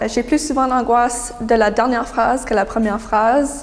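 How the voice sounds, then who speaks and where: A woman's fairly high voice with fairly even intonation, set against noticeable background noise. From New Brunswick, Canada. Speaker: young writer, prize winner. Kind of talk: interview answers. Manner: hesitant, many fillers.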